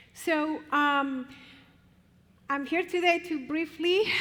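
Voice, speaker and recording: The speaker is a woman. She has a Spanish accent. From Colombia. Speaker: professor and family therapist. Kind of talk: conference talk.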